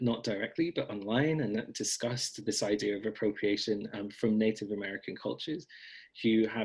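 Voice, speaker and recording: Against a quiet background, a man speaks in a Scottish accent with a fairly low pitch and ordinary pitch variation. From Scotland. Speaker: blogger and author on folk magic. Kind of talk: casual interview conversation.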